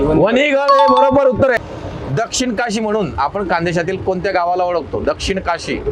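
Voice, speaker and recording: Noticeable background noise sits under a man whose high voice makes very wide pitch swings. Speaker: anchor, comedian, mimicry artist. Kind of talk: quiz show hosting. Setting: outdoors. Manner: upbeat.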